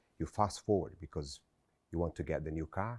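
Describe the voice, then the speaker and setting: A man speaks with a Brazilian Portuguese accent and a dark, mellow tone. His pace is moderate, and the recording is very clean with a silent background. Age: 40s. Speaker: motivational speaker. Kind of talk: motivational speech. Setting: stage with audience.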